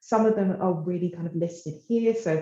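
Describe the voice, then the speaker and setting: At a moderate pace, a woman speaks at medium pitch with ordinary pitch variation, a plain, everyday voice. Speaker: tech company partnerships manager. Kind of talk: presentation. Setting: office.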